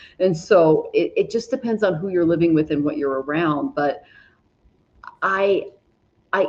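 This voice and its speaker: Speaking at a fairly slow pace, a woman with a fairly low pitch has an ordinary speaking voice. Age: 40s. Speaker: astrologer and tarot reader. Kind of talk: casual conversation.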